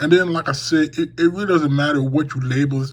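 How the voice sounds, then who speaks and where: There is noticeable background noise behind this man. His pitch is fairly high and his intonation fairly even. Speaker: sports podcaster. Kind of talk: tutorial. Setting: home room.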